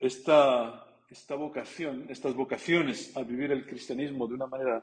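Pitched at a medium level, a man speaks at a fairly slow pace. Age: 40s. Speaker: priest. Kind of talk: sermon. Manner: halting.

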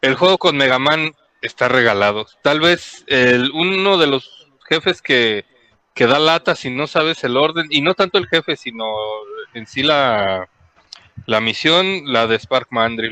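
A man's fairly high voice in a Mexican accent, very slow and full of lively intonation, with a dry, close sound and no echo. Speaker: podcast co-host. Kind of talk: casual chat.

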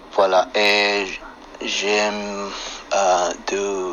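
There is noticeable noise in the background. Through it a man can be heard talking. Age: 50s. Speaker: chef, French learner. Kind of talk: interview in learner French. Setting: phone app call. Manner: halting.

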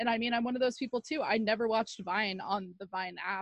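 At a fairly quick pace, a woman with a plain, everyday voice speaks at a fairly high pitch with ordinary pitch variation, in a dry, close sound with no echo and a quiet background. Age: 20s. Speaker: podcast co-host. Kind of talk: casual chat.

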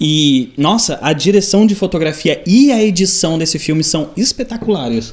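The intonation is lively and the pace moderate. There are hardly any pauses. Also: man, high pitch for a man. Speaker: podcast host. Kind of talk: casual chat.

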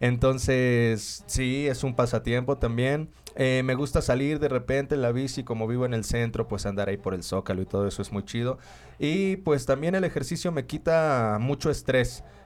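A man talks at a moderate pace and medium pitch in an ordinary speaking voice with ordinary pitch variation. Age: 30s. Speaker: freestyle rapper. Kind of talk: casual chat.

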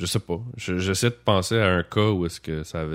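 A man's very deep, low voice in a Quebec accent, with ordinary pitch variation, in a very clean recording with a silent background. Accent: Québécois French. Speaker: podcast host. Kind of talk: casual chat. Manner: halting.

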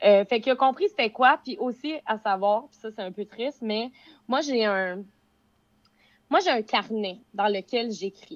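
In a Quebec accent, a woman speaks at a fairly high pitch and fairly slow pace with long, frequent pauses, ordinary pitch variation and big swings in loudness, recorded dry and close with no echo against a quiet background. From Quebec, Beauce. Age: 20s. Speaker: social media influencer. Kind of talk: casual chat.

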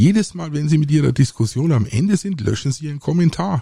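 A man speaks at a fairly slow pace, his pitch swinging very widely. His tone is dark and mellow, somewhat breathy, with a dry, close sound and no echo. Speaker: podcast host, aquarist. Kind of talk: solo podcast monologue. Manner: hesitant, many filler sounds.

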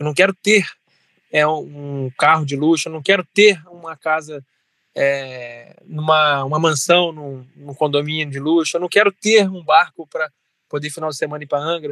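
Dry and close with no echo, a man's fairly high, bright, sharp voice moves at a moderate pace with big swings in loudness. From Brazil, Resende, Rio de Janeiro state. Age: 20s. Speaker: city councillor. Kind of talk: interview. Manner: halting, many fillers and repetitions.

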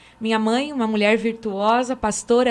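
A woman's voice with ordinary pitch variation. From Brazil, Francisco Beltrão, Paraná. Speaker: pastor. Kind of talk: panel discussion. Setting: studio.

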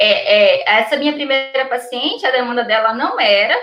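This woman's pitch is high and her intonation lively. She keeps a moderate pace. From Brazil, Minas Gerais. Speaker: perinatal psychologist. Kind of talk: interview on live stream.

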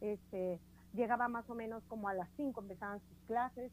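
This woman talks at a moderate pace, her fairly high pitch showing ordinary variation. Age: 30s. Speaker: communications professional, mother. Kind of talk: casual chat. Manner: animated.

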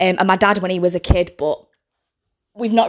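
With a British accent, a woman talks in a fairly even intonation on a very clean recording with a silent background. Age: 20s. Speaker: podcast host. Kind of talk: casual monologue.

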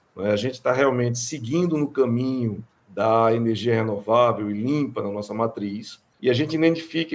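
A normal speaking voice from a man, medium in pitch, with ordinary pitch variation and a fairly slow pace. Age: 40s. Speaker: electrical engineering professor. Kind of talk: interview.

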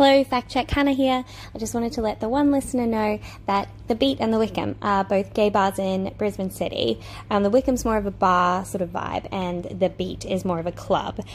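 Over music in the background, a woman speaks at a fairly quick pace. Her pitch is medium, with ordinary pitch variation. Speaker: podcast host. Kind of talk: casual chat; scripted narration. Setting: public park.

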